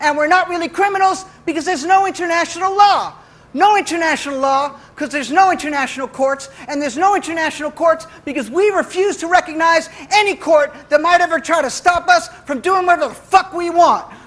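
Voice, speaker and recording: An animated man at an extremely high pitch, with noticeable background noise. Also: ordinary pitch variation, fairly quick pace. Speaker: spoken-word poet. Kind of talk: spoken-word poem performance, satirical. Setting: stage with live audience. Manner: animated, aggressive, mock-swaggering, sarcastic, punchy and rhythmic.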